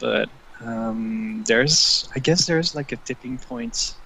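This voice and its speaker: Noticeable background noise behind a man speaking at moderate speed. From Netherlands. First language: Dutch. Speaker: online forum friend, guest. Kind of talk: casual conversation. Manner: halting, many fillers.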